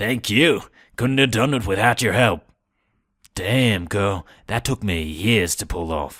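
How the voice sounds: Putting on a raspy character voice, a man speaks at a fairly low pitch with lively intonation. His pace is fairly slow, broken by long, frequent pauses.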